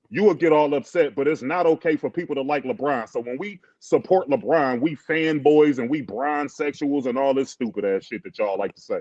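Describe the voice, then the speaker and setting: The speaker goes at a fairly quick pace with hardly any pauses and ordinary pitch variation. The sound is dry and close, with no echo. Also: man, fairly high pitch for a man. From US Midwest, Cleveland, Ohio. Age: 40s. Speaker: sports debate podcaster. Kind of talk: heated debate. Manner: animated.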